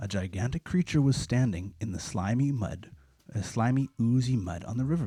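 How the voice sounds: Natural voice, reading aloud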